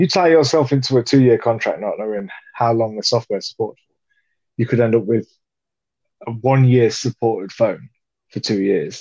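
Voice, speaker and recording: A man with a British accent talks at a fairly quick pace with long, frequent pauses, a medium pitch, ordinary pitch variation and a dark, mellow tone, recorded dry and close with no echo. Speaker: podcast co-host. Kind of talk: casual chat.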